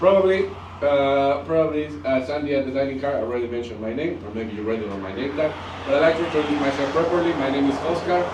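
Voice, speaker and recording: Animated and very fast, a man with a strong Mexican accent uses ordinary pitch variation amid noticeable background noise and audible room echo. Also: fairly high pitch for a man. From Mexico. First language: Spanish. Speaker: wine train tour manager. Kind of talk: tour guide address to group. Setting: on a train with passengers. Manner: animated, addressing audience.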